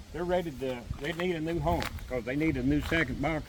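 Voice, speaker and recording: A man talks at a fairly quick pace. Noticeable background noise and audible room echo fill the recording. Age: 70s. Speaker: beekeeper. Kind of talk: casual chat. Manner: halting.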